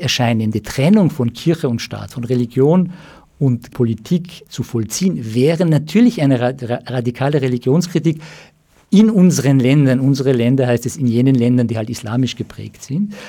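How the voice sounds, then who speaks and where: At a moderate pace, the voice has a dark, mellow tone, a somewhat breathy quality and lively intonation. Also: man. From Austria, Germany and Iran. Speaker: psychoanalyst and writer. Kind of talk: radio interview. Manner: halting, many fillers.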